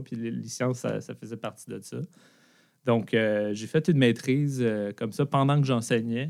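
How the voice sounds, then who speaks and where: A man with a Quebec accent speaks at medium pitch and a fairly quick pace with fairly even intonation, on a very clean recording with a silent background. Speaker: tech company founder and former teacher. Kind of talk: interview.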